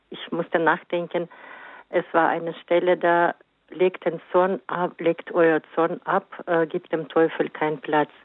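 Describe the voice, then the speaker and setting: Pitched fairly low, a woman speaks at a very slow pace. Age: 60s. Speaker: caller. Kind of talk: call-in testimony.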